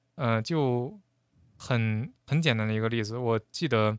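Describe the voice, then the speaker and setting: A man's medium-pitched voice with ordinary pitch variation, dry and close with no echo, in a very clean recording with a silent background. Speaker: former international student in the US. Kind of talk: casual chat.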